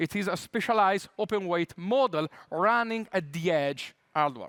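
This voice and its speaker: A man's high voice with an Italian accent, dry and close with no echo, on a very clean recording with a silent background. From Italy. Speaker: tech conference speaker. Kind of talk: conference talk. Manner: many filler hesitations.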